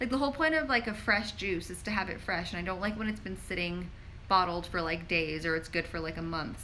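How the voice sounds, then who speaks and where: Bright and sharp in tone, the voice moves at a fairly quick pace with an American accent over audible room echo. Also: woman. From New York. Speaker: pharmacist and wellness influencer. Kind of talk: live Q&A stream. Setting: live social media stream. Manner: casual, filler-heavy.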